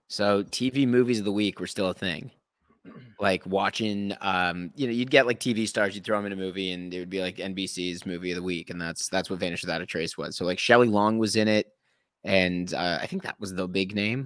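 A man with an Ontario accent, fairly low in pitch with ordinary pitch variation, at a fairly quick pace. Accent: Canadian (Ontario). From Canada, Thornhill near Toronto. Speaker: actor and trivia host. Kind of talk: casual interview chat.

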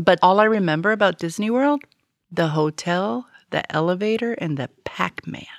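In an ordinary speaking voice, a woman with an American accent talks at a moderate pace and medium pitch, her intonation lively, on a very clean recording with a silent background. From Florida, US.

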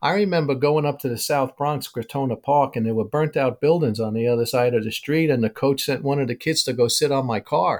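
With a New York accent, a man speaks at a fairly quick pace and a fairly high pitch, hardly pausing. The recording is very clean, with a silent background. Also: ordinary pitch variation. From New York City (Brooklyn). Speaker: baseball scout. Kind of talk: interview, storytelling.

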